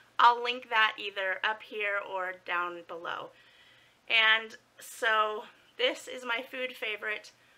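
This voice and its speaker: Her tone bright and sharp, a woman speaks at a very slow pace with ordinary pitch variation. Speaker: food vlogger. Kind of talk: casual vlog chat. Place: home room. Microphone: phone near.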